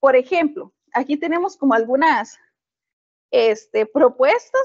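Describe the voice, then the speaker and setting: A very slow, high-pitched delivery from a woman. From Costa Rica, southern zone. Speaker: physicist and science educator. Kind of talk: webinar presentation. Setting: live online webinar.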